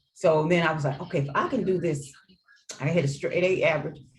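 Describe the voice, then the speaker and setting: A somewhat breathy voice with an American accent comes through with audible room echo. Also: woman. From US Midwest, St. Louis. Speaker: educator and author. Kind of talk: interview.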